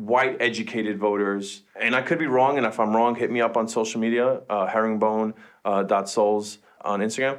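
Speaking at a moderate pace, a man uses a normal speaking voice of medium pitch, with fairly even intonation and very even loudness. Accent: American. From Queens, New York. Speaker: podcast co-host. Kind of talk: casual chat.

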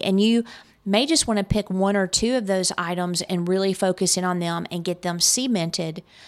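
At a moderate pace, a woman with an ordinary speaking voice talks at a medium pitch with ordinary pitch variation. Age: 50s. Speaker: business podcast host. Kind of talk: solo podcast tips talk. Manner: casual, filler-heavy.

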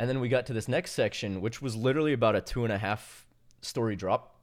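A plain, everyday voice with fairly even intonation, on a very clean recording with a silent background. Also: man. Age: 20s. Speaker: parkour athlete. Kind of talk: casual chat.

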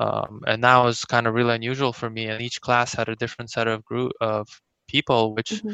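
A man with a Russian accent, medium-pitched and monotone, flat in intonation, at a fairly quick pace. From Kazakhstan, then raised mostly in US West Coast. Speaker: bilingual immigrant interviewee. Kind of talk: interview. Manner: hesitant, many fillers.

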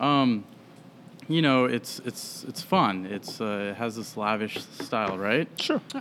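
Using lively intonation, a man of medium pitch talks at a very slow pace in an American accent. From US Midwest, Des Moines, Iowa. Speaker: whiskey brand sales representative. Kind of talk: casual chat. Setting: upstairs room at a brewery, drinking beer.

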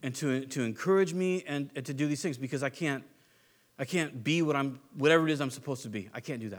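In a very clean recording with a silent background, a man talks at a very fast pace. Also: fairly high pitch for a man, ordinary pitch variation. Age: 40s. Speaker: pastor. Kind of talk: sermon. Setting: church. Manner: casual.

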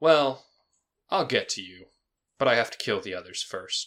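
This put-on character voice moves at a moderate pace, with big swings in loudness. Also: man, fairly high pitch for a man. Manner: menacing, echoing.

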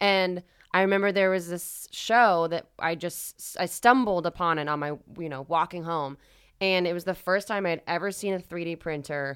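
In a very clean recording with a silent background, a woman with an American accent talks at a moderate pace. Hers is an unremarkable speaking voice, fairly low, with ordinary pitch variation. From Florida, US. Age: 30s. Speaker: podcast guest. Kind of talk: casual chat.

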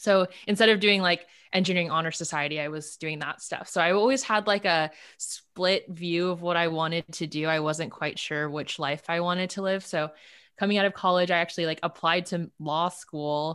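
A woman with a Californian accent speaks at a fairly quick pace, her pitch fairly low and her intonation fairly even, on a very clean recording with a silent background. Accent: Californian American English. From Los Angeles, South Bay (Palos Verdes). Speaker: dating app founder and CEO. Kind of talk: casual interview chat.

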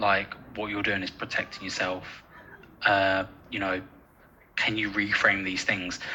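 Over noticeable background noise, a man with an English accent talks at a fairly slow pace in a fairly low pitch, his intonation monotone and flat, with long, frequent pauses. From North London (Edmonton). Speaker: university lecturer in sport science. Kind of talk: casual interview chat.

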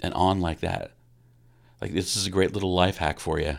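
A man speaks very deeply and low with an American accent, captured in a very clean recording against a silent background. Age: 50s. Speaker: pastor. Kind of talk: solo podcast talk. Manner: halting, many repetitions.

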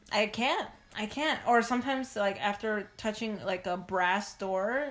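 An unremarkable speaking voice from a woman with an American accent, medium pitch, ordinary pitch variation, and a fairly slow pace. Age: 20s. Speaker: recent graduate. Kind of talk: casual chat.

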